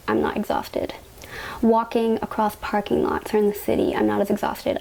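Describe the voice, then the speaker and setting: Noticeable background noise sits behind the recording. A woman with a Canadian accent speaks at a fairly quick pace. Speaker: patient sharing health experience. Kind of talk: personal testimony vlog. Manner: casual, uses fillers.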